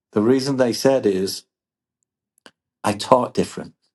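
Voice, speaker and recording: This man has an English accent and a medium pitch with ordinary pitch variation. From England. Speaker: business leader, former engineer. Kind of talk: podcast interview. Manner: repeats words, some false starts.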